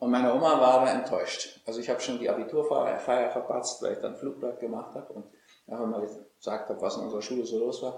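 A man talks at a very fast pace. The recording has audible room echo. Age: 60s. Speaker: physician and author. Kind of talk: interview. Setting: at his home estate.

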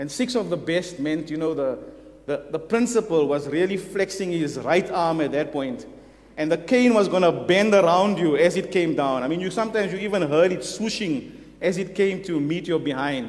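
A man's high voice with ordinary pitch variation at a moderate pace, with audible room echo. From South Africa. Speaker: visiting preacher. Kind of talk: sermon. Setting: church. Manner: hesitant, with many fillers.

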